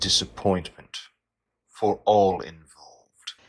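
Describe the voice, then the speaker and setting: Using a put-on character voice, a man speaks at a fairly low pitch and a fairly slow pace in a menacing tone. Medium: audio drama. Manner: cold, menacing.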